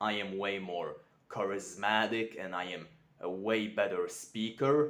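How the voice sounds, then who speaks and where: A man speaks at a very slow pace in a fairly low pitch. His pitch varies in an ordinary way. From Europe. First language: not English. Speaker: self-improvement vlogger. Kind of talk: unscripted vlog monologue. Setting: talking to camera. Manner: careful, sometimes mispronouncing.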